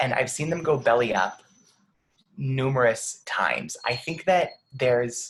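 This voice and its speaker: A man's somewhat breathy voice at a medium pitch, with ordinary pitch variation. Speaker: nonprofit founder. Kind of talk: video call discussion.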